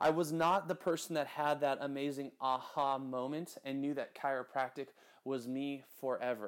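A man with an American accent speaks at a moderate pace in a fairly high pitch. The recording is very clean, with a silent background. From US West Coast (Santa Maria, California). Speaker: podcast host and chiropractor. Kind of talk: solo podcast monologue. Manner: animated; loud.

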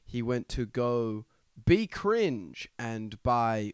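A man talks with an Australian accent. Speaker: podcast co-host. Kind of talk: casual chat.

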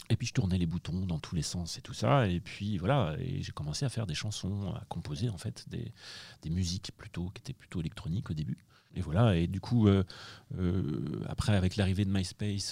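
Speaking at a moderate pace, a man with a very deep, low pitch uses lively intonation in a somewhat breathy, dark, mellow tone. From France, Angers. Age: 40s. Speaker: director of studies at a business school. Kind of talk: interview. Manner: hesitant, many repetitions.

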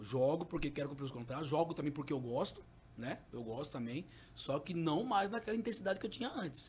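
Using a fairly high pitch, a man speaks with very wide pitch swings. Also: fairly quick pace. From Cuiabá, Mato Grosso, Brazil. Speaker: former professional goalkeeper. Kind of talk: casual interview chat.

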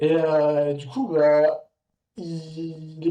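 A man's dark, mellow, somewhat breathy voice at a fairly high pitch. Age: 20s. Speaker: street workout athlete and mountain adventurer. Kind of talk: casual chat.

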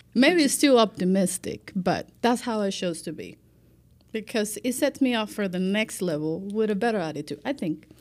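Recorded very cleanly against a silent background, a woman with a Spanish accent and medium pitch uses lively intonation at a moderate pace. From Cuba, Santiago de Cuba. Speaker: life manager. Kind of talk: casual chat.

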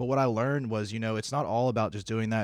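On a very clean recording with a silent background, a man speaks very fast at a medium pitch. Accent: American. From South Carolina. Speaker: executive assistant. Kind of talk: casual chat.

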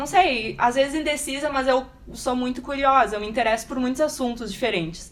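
A woman talks at a fairly quick pace with a high pitch and ordinary pitch variation. Noticeable background noise sits behind her. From Rio Grande do Sul, Brazil. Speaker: bioinformatics researcher. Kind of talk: casual chat. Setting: recorded in person at a course.

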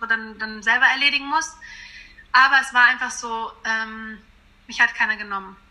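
Speaking at a fairly quick pace, a woman with a high voice keeps her intonation fairly even over noticeable background noise. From western Germany, small town. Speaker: singer. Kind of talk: interview.

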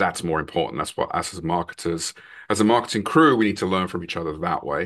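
Over a quiet background, a man with an English accent speaks in a bright, sharp tone. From England, London. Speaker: product marketing executive. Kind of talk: podcast interview.

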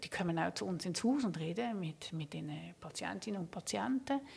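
Using lively intonation and some vocal fry, a woman speaks at a moderate pace. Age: 50s. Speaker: palliative care physician. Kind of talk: interview. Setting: studio.

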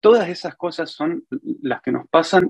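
Pitch swings very widely throughout. The sound is dry and close, with no echo. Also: man. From Argentina, Santa Fe province (small town). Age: 40s. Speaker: furniture business owner. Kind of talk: interview. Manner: halting, with frequent repetitions.

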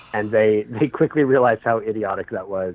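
Here a man with an American accent has a normal speaking voice, fairly low in pitch with ordinary pitch variation. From US West Coast (Sacramento, California). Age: 30s. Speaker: non-profit fundraising consultant. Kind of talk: casual interview.

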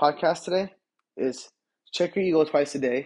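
Against a quiet background, a man with an American accent speaks at a fairly high pitch with ordinary pitch variation. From Los Angeles, Boyle Heights. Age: 20s. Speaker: podcaster. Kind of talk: casual monologue.

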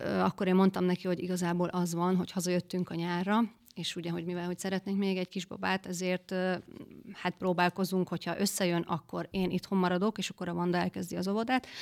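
A woman speaks very fast at a medium pitch in a monotone, flat delivery, recorded very cleanly against a silent background with a dry, close sound and no echo. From Western Hungary, near Győr. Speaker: guest, footballer's wife. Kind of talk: casual interview. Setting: studio.

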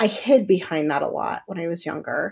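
The recording is very clean, its background silent. This woman's voice sits at a medium pitch. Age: 30s. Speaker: podcast host and health coach. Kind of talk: solo podcast monologue.

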